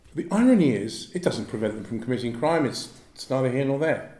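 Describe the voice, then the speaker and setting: A man with a London accent swings his pitch very widely. Audible room echo is present. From South East London. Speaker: former fraud squad police officer. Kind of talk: public talk with Q&A.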